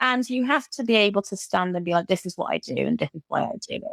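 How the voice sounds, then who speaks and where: Speaking at a very fast pace, a woman shows ordinary pitch variation in a dry, close sound with no echo. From Britain. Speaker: occupational therapist and burnout coach. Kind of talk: podcast interview.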